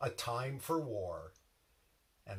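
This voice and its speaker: Very slow, somewhat breathy speech from a man with an American accent, medium in pitch. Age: 60s. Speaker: reflective speaker. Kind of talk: personal reflection.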